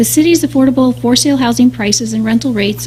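Noticeable background noise runs under this clip. A woman speaks at a fairly quick pace. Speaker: city housing staff presenter. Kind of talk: staff report presentation at council meeting. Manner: soft-spoken; formal.

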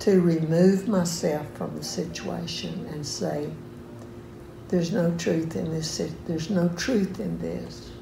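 A woman speaks very slowly at a fairly low pitch with fairly even intonation. The room has audible echo and light background noise. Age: 80s+. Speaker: elderly churchgoer sharing testimony. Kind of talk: testimony. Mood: earnest, firm. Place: home room. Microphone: phone near.

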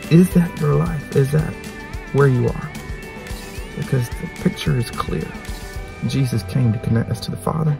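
With clear music playing in the background, a man speaks at a moderate pace. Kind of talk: devotional sermon-like vlog talk. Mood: earnest, urging. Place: car. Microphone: phone near.

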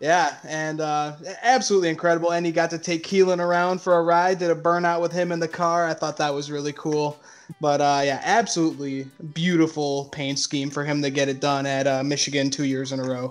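Faint music plays in the background. A man speaks over it at a fairly quick pace with fairly even intonation. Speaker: podcast co-host. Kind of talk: casual podcast chat. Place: home room. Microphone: video call.

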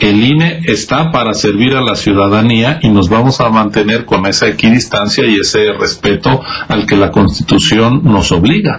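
A man talks at a moderate pace with hardly any pauses, his loudness very even. His pitch is medium, with ordinary variation. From Mexico. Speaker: electoral official; council guest. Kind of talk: news interview. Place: home room. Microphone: video call.

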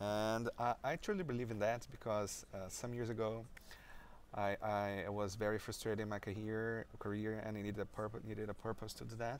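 A man with a Brazilian accent speaks at a moderate pace in a fairly low, monotone, flat voice. The sound is dry with no echo and light background noise. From Brazil (Maringá, Paraná). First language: Portuguese. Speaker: software developer and conference speaker. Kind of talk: interview. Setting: conference venue. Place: meeting room.

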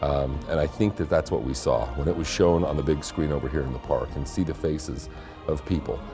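Clear music plays in the background as a man talks at a moderate pace. His pitch sits very deep and low, with ordinary variation. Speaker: former television news anchor and documentary narrator. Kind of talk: interview answer, casual talk to camera. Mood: warm, appreciative. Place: studio. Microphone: lapel.

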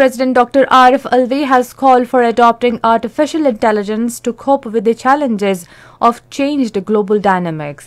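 A woman with a Pakistani accent speaks in a high voice. Her loudness stays very even against a quiet background. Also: ordinary pitch variation, moderate pace. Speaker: radio newsreader. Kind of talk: formal national radio news bulletin reading. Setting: radio studio. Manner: measured, even-paced formal delivery; crisp, neutral announcer tone. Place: studio. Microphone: studio mic.

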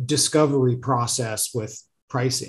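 A man speaks at a moderate pace in a somewhat breathy voice. The background is quiet. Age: 30s. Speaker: podcast host. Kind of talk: interview. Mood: friendly, relaxed. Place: home room. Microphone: video call.

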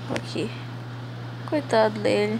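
Quiet and very deep, a woman's voice sits very low in pitch. Audible room echo and noticeable background noise surround it. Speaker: gaming youtuber. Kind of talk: gameplay commentary. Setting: at home in a hammock. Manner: speaking quietly.

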